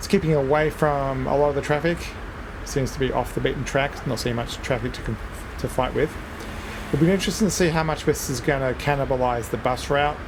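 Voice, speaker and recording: Speaking with an Australian accent, a man talks fairly quickly at a fairly high pitch with fairly even intonation, amid noticeable background noise and audible room echo. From Australia, Melbourne. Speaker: gaming video creator. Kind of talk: gameplay commentary. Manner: casual, with fillers.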